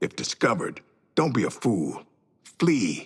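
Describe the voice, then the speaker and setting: Putting on a growling character voice, a man talks at a moderate pace and medium pitch. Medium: video game. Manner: brash, gleeful.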